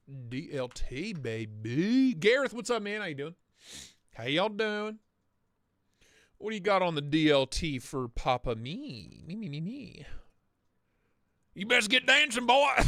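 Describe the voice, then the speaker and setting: With an American accent, a high-pitched man projects a raised voice, his pitch swinging very widely between long, frequent pauses, in a very clean recording with a silent background. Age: 30s. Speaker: knife livestream host. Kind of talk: live stream chat. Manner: animated.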